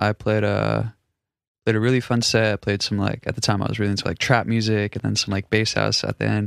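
The sound is dry and close, with no echo, on a very clean recording with a silent background. A man speaks at a very fast pace. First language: Russian. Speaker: music producer and vocalist. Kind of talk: casual chat.

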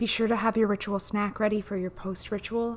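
Her voice is an unremarkable speaking voice, as a woman talks at a fairly quick pace in a medium pitch with fairly even intonation. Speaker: podcast host and guided meditation leader. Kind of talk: guided meditation. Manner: gentle, hypnotic, vividly descriptive.

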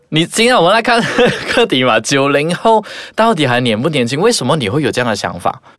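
Over noticeable background noise, a man talks at a fairly quick pace. His pitch swings very widely. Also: fairly high pitch for a man. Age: 20s. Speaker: podcast co-host. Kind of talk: casual chat.

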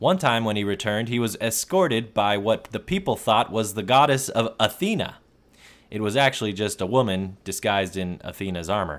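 A man with an ordinary speaking voice talks fairly quickly at a fairly low pitch, with ordinary pitch variation. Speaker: podcast host. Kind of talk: history podcast narration. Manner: measured, storytelling.

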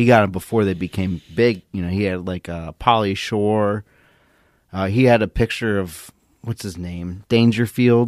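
Recorded with a dry, close sound and no echo, a man speaks at a moderate pace in an unremarkable speaking voice, fairly low-pitched with fairly even intonation. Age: 30s. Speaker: podcast co-host. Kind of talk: casual chat. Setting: video call.

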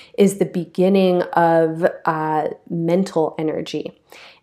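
A woman with a fairly low pitch and a dark, mellow tone speaks in a monotone, flat way on a very clean recording with a silent background. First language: English (native), also speaks French. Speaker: astrologer and yoga teacher, podcast host. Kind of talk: solo astrology talk.

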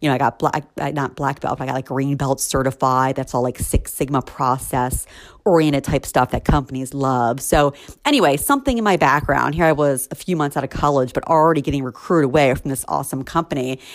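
A woman speaks at a very fast pace. Her pitch is very deep and low, and her intonation stays fairly even. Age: 40s. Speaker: recruiter and podcast host. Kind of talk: solo podcast monologue. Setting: home.

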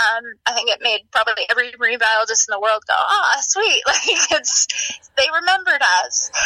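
A high-pitched woman with an American accent, fairly quick, very even in loudness, with very wide pitch swings. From Maine, US. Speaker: marine biologist. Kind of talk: interview.

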